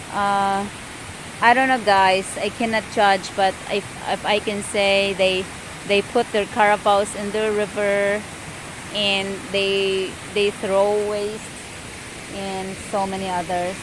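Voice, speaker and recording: With long, frequent pauses, a woman in a Filipino accent speaks at a very slow pace in a monotone, flat intonation over noticeable background noise. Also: medium pitch for a woman. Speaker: farmer. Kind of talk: casual talk to camera.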